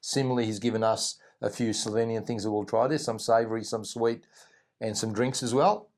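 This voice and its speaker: The recording is very clean with a silent background. A man with an Australian accent speaks fairly quickly at a medium pitch. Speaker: travel vlogger. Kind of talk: casual chat.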